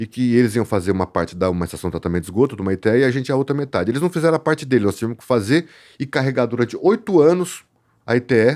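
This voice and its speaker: Talking at a very fast pace, a man with a medium pitch uses lively intonation and big swings in loudness on a very clean recording with a silent background. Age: 50s. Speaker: land development company director. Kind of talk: casual podcast interview.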